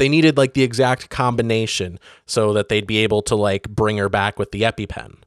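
This man has a plain, everyday voice with an American accent and a fairly low pitch. He speaks at a fairly quick pace with ordinary pitch variation on a very clean recording with a silent background. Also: dry, close sound with no echo. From northern Michigan (Benzie County). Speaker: podcast co-host. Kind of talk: casual chat.

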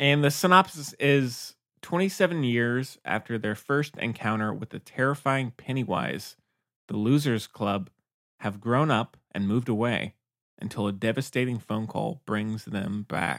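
A man at a medium pitch and a fairly slow pace. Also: dry, close sound with no echo. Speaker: podcast host. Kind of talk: casual chat. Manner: monotone.

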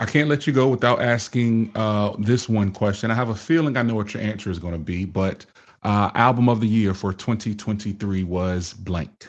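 A man with a plain, everyday voice speaks against a quiet background. His pitch is fairly low, with ordinary pitch variation. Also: moderate pace. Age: 40s. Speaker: podcast host and fatherhood speaker. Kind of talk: casual interview.

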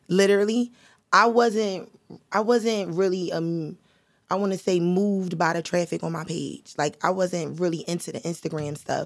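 This woman's delivery keeps to a moderate pace. Her pitch moves in a fairly even way. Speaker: rapper. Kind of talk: casual chat.

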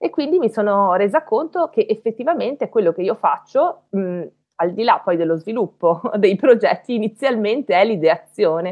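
This woman speaks fairly high at a moderate pace. Her pitch swings very widely. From Belluno, northern Italy (Veneto mountains). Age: 40s. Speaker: science communicator and university lecturer. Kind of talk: casual chat.

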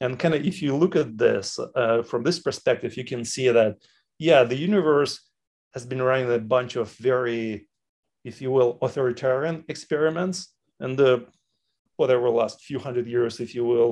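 A man with a Russian accent at a medium pitch and moderate pace, with ordinary pitch variation. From Chechnya, Soviet Union. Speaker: entrepreneur and parent of a tech founder. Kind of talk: casual interview.

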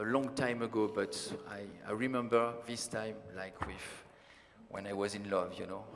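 A man speaks at a medium pitch with a French accent, leaving long, frequent pauses over noticeable background noise. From France. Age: 40s. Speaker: science fiction writer, panel moderator. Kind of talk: panel discussion. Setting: stage with audience. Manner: halting.

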